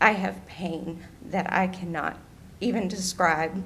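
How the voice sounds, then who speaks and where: A woman speaks very slowly at a medium pitch, her voice shaky. Her intonation is fairly even, and audible room echo surrounds her. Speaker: public commenter at county meeting. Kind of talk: public comment testimony. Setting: county board meeting.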